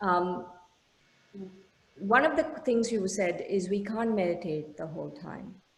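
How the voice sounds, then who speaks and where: Woman with lively intonation and a medium pitch at a moderate pace, amid noticeable background noise and audible room echo. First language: an Indian language. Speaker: meditation teacher. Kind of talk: lecture. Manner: halting, many fillers.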